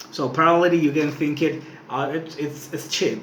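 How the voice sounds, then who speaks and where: Someone with a non-native accent speaks amid audible room echo and noticeable background noise. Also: man. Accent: non-native English, working on pronunciation. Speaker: student. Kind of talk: class speech presentation. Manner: halting, with repetitions.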